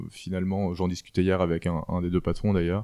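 Very deep and low in pitch, a man with a dark, mellow tone speaks in a very clean recording with a silent background. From France, Alsace. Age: 20s. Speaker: apprentice butcher, former finance worker. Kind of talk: interview testimony.

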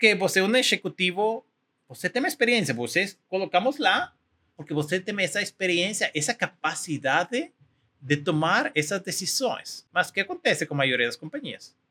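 With very wide pitch swings, a man raises and projects his high-pitched voice in a bright, sharp tone. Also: moderate pace, dry, close sound with no echo. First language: Spanish (speaking Portuguese). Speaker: tech company executive. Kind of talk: interview. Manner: halting.

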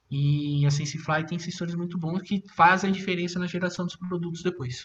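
A man speaks in a high-pitched voice with a bright, sharp tone. His pitch varies in an ordinary way. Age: 30s. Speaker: drone industry specialist. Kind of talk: interview.

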